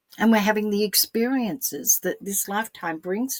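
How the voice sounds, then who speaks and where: A woman's medium-pitched voice with an Australian accent, in a dry, close sound with no echo. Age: 70s. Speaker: spiritual teacher. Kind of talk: solo spiritual talk. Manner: repetitive, hesitant.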